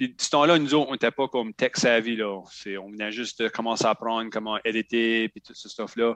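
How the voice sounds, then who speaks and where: A plain, everyday voice in a dry, close sound with no echo. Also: man, medium pitch for a man, fairly even intonation, moderate pace. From Acadian New Brunswick (Shediac). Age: 30s. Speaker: podcaster and federal government employee. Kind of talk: casual interview chat.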